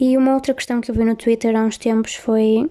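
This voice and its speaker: Spoken at a moderate pace with a European Portuguese accent and fairly even intonation, the clip carries noticeable background noise. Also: woman. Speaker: podcast host. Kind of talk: casual chat. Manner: soothing.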